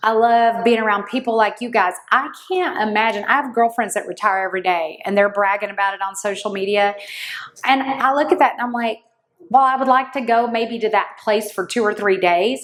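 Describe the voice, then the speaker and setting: A woman with an unremarkable speaking voice talks at a fairly quick pace, her fairly high pitch showing ordinary variation. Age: 60s. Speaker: podcast host, insurance leader. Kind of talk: interview conversation.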